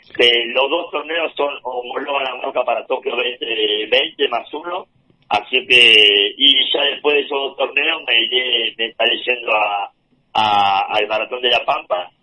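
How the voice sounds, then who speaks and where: A man at medium pitch, very slow pace and ordinary pitch variation. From Argentina, Entre Ríos (Concepción del Uruguay). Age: 40s. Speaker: paralympic wheelchair racer. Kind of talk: interview.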